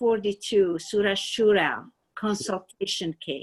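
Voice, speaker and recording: Fairly slow speech in a Persian accent. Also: woman. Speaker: spiritual student. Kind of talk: personal testimony. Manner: halting.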